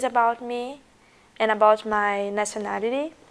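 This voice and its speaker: A woman with a Portuguese accent talks fairly slowly at a fairly high pitch. Her intonation is monotone and flat. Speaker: international student. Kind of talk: documentary interview.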